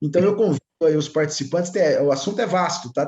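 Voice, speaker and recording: In an interior São Paulo accent, a man speaks with a dark, mellow tone and ordinary pitch variation. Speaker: compliance consultant. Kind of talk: webinar talk. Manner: animated.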